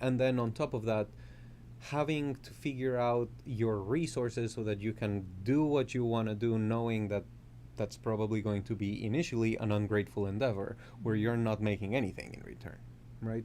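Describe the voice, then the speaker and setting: A man with a Colombian accent speaks at a moderate pace and a medium pitch. His tone is dark and mellow, with fairly even intonation. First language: Spanish. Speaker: composer and music professor. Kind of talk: interview conversation.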